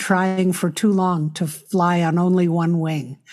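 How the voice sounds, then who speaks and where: Over a silent background in a very clean recording, a woman with an American accent speaks at a fairly slow pace, her medium-pitched voice dark and mellow in tone. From US Northeast, New York City. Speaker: nonprofit leader and author. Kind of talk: interview conversation.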